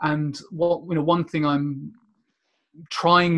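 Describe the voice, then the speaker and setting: Someone with a southern English accent speaks at a fairly slow pace. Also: man. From southern England, near Portsmouth. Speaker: business analysis consultant. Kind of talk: interview. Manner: halting, many repetitions.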